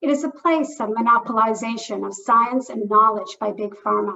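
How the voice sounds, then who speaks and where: An ordinary speaking voice from a woman with a Canadian accent, at a moderate pace and with ordinary pitch variation. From Canada. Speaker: public health program officer at a philanthropy. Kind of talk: discussant remarks at online lecture. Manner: formal.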